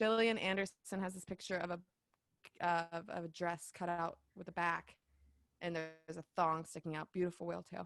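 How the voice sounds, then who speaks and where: Dry and close with no echo, a woman with a Southern US accent speaks at a fairly low pitch. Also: moderate pace. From US South, Dawsonville, Georgia. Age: 20s. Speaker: podcaster and event director. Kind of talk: casual chat. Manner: animated.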